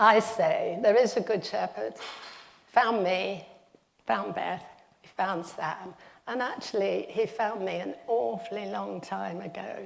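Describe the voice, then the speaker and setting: A woman speaks at a very slow pace, her loudness swinging widely. Room echo is audible. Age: 70s. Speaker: retired teacher giving a talk in church. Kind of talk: sermon.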